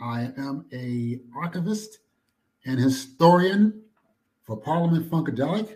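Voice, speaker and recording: In an American accent, a man speaks at a fairly slow pace, fairly high in pitch, with lively intonation and a somewhat breathy, dark, mellow tone. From New York (Queens). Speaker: music archivist and historian. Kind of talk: interview. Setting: call from a library. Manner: soft-spoken.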